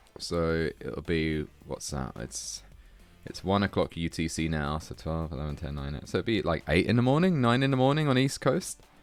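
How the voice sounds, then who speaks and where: Music plays in the background while the voice makes very wide pitch swings. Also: man, very deep, low pitch for a man, moderate pace. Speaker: tetris commentator. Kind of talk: live commentary. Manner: casual, hesitant with fillers.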